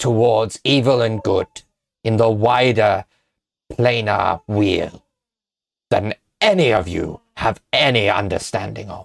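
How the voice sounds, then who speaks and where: Using a put-on character voice, a man sounds raspy at a medium pitch. He speaks at a fairly slow pace with long, frequent pauses. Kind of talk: scholarly exposition. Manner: lofty, condescending, lecturing.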